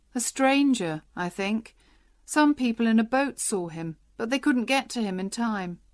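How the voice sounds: Lively intonation marks this natural reading voice.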